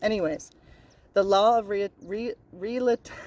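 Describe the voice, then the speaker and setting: The sound is dry and close with no echo as a woman with a Newfoundland accent speaks at a fairly high pitch. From Newfoundland, Canada. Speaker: spiritual self-help vlogger. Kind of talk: casual monologue about spiritual laws. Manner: repetitive, occasionally stumbles over words.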